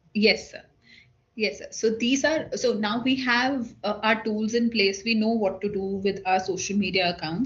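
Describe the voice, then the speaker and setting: Somewhat breathy, a woman speaks at a fairly high pitch and a moderate pace, with ordinary pitch variation. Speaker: government social media officer. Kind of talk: online workshop presentation.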